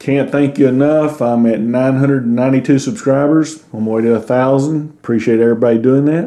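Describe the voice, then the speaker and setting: Talking at a fairly quick pace with hardly any pauses, a man with a Southern US accent uses a medium pitch, a dark, mellow tone and ordinary pitch variation. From US South. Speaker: YouTuber. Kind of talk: channel outro.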